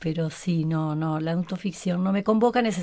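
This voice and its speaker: This woman has a normal speaking voice, fairly low in pitch, with lively intonation at a moderate pace. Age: 60s. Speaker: writer. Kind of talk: interview.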